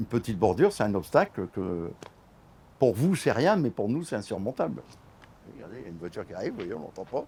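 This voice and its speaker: Pausing long and often, a man with a dark, mellow tone speaks at a very fast pace and fairly low pitch, his pitch swinging very widely. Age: 60s. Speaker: wheelchair user, local resident. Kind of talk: casual chat. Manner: halting.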